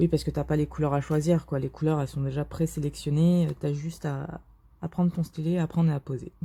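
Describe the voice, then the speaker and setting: Fairly quick, somewhat breathy speech with a dark, mellow tone and monotone, flat intonation. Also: woman, very deep, low pitch for a woman. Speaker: diamond painting youtuber. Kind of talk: casual vlog commentary while crafting. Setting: bedroom at someone else's home. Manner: speaking more quietly than usual; hesitant, many fillers.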